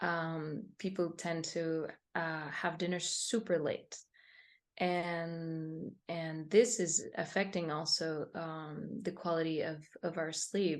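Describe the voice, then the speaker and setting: Speaking very slowly, a woman uses a fairly low pitch and fairly even intonation. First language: Spanish. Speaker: meditation teacher. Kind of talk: interview. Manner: halting.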